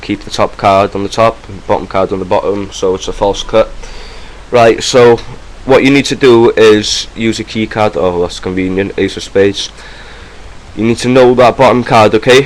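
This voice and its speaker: A man with a Welsh accent at a moderate pace, fairly even intonation, and noticeable background noise. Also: medium pitch for a man. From Wales. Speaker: magic tutorial youtuber. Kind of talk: tutorial. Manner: casual, hesitant with fillers.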